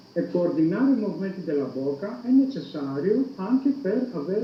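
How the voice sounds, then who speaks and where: A man's high voice with very wide pitch swings at a moderate pace, amid noticeable background noise. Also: hardly any pauses. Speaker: university psychology professor. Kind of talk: interview answer.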